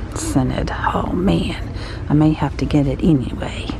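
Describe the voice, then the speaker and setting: A woman speaks over background music, her voice dry with no echo. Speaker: shopping vlogger. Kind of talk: casual vlog chat. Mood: excited, gasping. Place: shop. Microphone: phone near.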